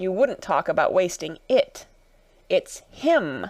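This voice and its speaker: In a put-on character voice, a raspy, female-sounding speaker delivers lines at a fairly slow pace. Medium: read story. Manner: abrupt, nonsensical.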